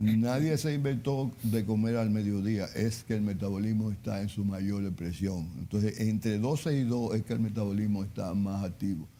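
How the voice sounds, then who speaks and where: A man's fairly low, dark and mellow voice at a moderate pace, with very even loudness, ordinary pitch variation and hardly any pauses. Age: 70s. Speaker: chef and nutrition advisor. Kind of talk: interview on nutrition. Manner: halting, repeats words.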